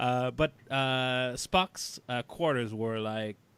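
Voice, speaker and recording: This man talks at a very slow pace with a Quebec accent. His pitch sits in the medium range. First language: French. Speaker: podcast host. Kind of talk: casual chat. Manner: halting, many fillers.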